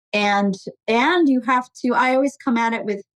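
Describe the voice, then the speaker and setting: In a normal speaking voice, a woman talks at a moderate pace with an American accent and ordinary pitch variation, the sound dry and close with no echo. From Portugal, raised in US from childhood. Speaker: technology executive. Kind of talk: interview.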